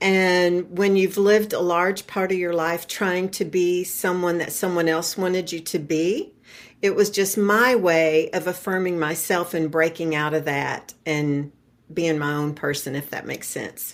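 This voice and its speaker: In a very clean recording with a silent background, a woman with a normal speaking voice speaks at a fairly slow pace with a fairly low pitch and fairly even intonation. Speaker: retiree and podcast guest. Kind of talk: interview conversation.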